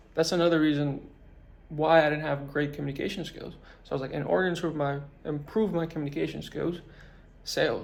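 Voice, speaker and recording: A man with a fairly high voice speaks very fast in an animated tone, leaving long, frequent pauses. Audible room echo surrounds him. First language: not English. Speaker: business motivation vlogger. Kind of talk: motivational talk to camera. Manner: casual, animated.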